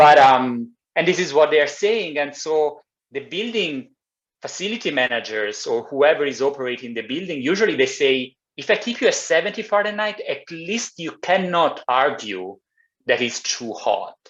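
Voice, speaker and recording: Speech comes at a moderate pace with an Italian accent. The pitch swings very widely. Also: man, fairly high pitch for a man. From Italy. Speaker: climate engineer. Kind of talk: presentation. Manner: halting.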